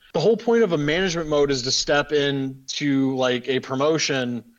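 A man with a plain, everyday voice speaks fairly quickly at a fairly high pitch, his intonation lively. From Western Ohio. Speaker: podcast host. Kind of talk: casual chat.

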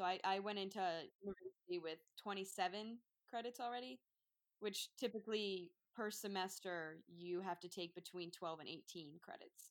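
At a moderate pace, a woman with a New Jersey accent speaks at a medium pitch with ordinary pitch variation. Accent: New Jersey American. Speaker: veterinary student. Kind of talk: casual chat.

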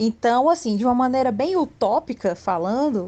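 A woman's high-pitched voice at a fairly slow pace with lively intonation. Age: 30s. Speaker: illustrator. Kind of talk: casual chat.

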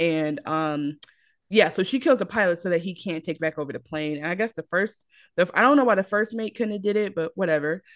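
A woman talks at a fairly quick pace with lively intonation. She has an unremarkable speaking voice. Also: fairly low pitch for a woman. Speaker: podcast co-host. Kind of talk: casual chat.

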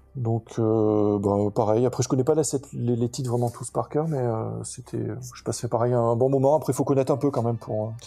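A man's dark, mellow, somewhat breathy voice at medium pitch, fairly quick in pace and fairly even in intonation. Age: 40s. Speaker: metal festival-goer, podcast listener. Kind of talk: casual interview chat. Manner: halting, many fillers and repetitions.

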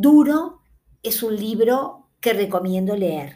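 Her tone dark and mellow, a woman speaks at a fairly high pitch with lively intonation. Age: 60s. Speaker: podcast host, book reviewer. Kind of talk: casual monologue about books. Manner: hesitant, with fillers.

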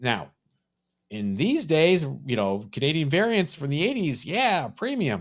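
Over a silent background in a very clean recording, a man speaks at a fairly high pitch with very wide pitch swings. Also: fairly slow pace. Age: 50s. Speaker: comic book collector, podcast co-host. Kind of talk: casual chat.

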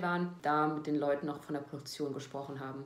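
A woman's very deep, low voice with fairly even intonation at a fairly quick pace, over noticeable background noise and audible room echo. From Germany, North Rhine-Westphalia near Cologne. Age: 20s. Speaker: former reality TV participant. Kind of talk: self-interview answering read-out questions.

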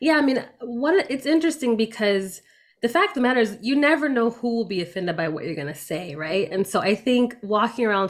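A woman with a normal speaking voice talks with lively intonation. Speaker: anti-racism organization founder. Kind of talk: casual interview conversation.

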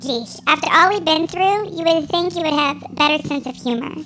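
Over clear background noise, a squeaky, high-pitched, put-on character voice talks at a fairly quick pace. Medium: audio drama. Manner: deadpan, flat.

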